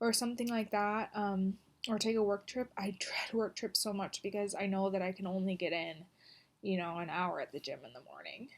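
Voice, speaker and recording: A woman mumbles at a fairly quick pace with medium pitch and big swings in loudness. The recording is very clean, with a silent background. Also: ordinary pitch variation. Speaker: vlogger. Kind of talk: video diary. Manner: halting, many pauses; mumbling. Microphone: poor recording quality.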